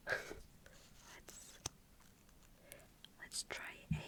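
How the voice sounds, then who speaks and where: Whispered female speech against noticeable background noise. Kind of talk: ASMR role-play makeup, personal attention.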